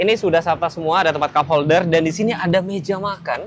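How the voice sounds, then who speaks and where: A man with a Javanese accent talks very fast at a fairly high pitch. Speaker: car reviewer. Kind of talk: car review walkthrough. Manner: casual, conversational.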